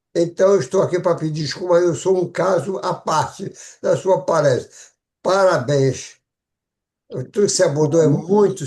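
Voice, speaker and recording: With a quiet background behind him, a man speaks at a moderate pace in a high pitch, using ordinary pitch variation. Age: 90s. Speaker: retired cardiologist, club member. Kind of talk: audience comment. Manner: halting.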